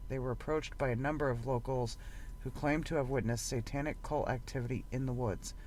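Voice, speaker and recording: Audible room echo surrounds a man speaking at a fairly quick pace. His pitch is medium, and his intonation is fairly even. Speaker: podcast host. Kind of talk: reading aloud. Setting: in a parked van. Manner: halting.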